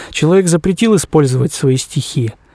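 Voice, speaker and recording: Lively intonation marks this man's speech. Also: dry, close sound with no echo. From Krasnoyarsk Krai, Siberia, Russia. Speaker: musician and arranger. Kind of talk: interview.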